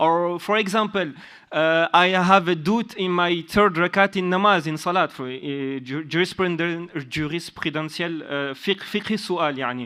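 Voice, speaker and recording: A man talks at a moderate pace in a high voice with ordinary pitch variation. His tone is bright and sharp. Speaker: religious student and conference delegate. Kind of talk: question from the floor at a conference. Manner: halting, many hesitations and restarts.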